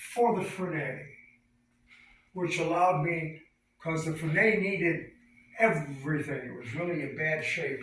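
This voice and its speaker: With audible room echo, a high-pitched man talks at a moderate pace with ordinary pitch variation. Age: 80s+. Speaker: classic car collector and restorer. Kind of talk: casual chat.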